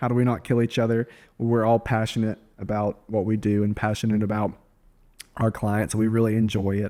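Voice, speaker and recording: A man with a Southern US accent, dark and mellow, fairly low in pitch, monotone and flat, with very even loudness and a fairly quick pace, in a very clean recording with a silent background. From US South. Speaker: real estate agent and podcast host. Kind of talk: casual chat; podcast outro.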